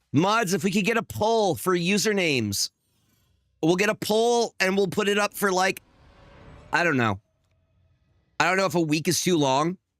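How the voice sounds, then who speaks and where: Shouting loudly at a fairly slow pace, a man with a high pitch and lively intonation is captured in a dry, close sound with no echo and a very clean recording against a silent background. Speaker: gaming streamer. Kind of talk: live stream commentary. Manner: loud, yelling.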